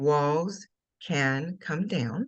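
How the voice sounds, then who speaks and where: A woman's very deep, low-pitched voice. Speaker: life coach. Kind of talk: interview.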